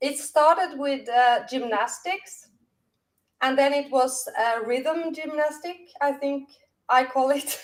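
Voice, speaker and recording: Speaking at a very slow pace, a woman with a Norwegian accent uses a high pitch and ordinary pitch variation. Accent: Norwegian, non-native English. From Norway. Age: 50s. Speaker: dance teacher. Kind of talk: casual chat.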